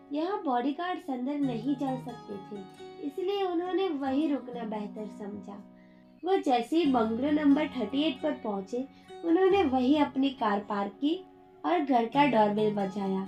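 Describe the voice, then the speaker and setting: Music plays in the background as a woman speaks at a very slow pace. Her high voice swings very widely in pitch. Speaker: audio story narrator. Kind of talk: read story.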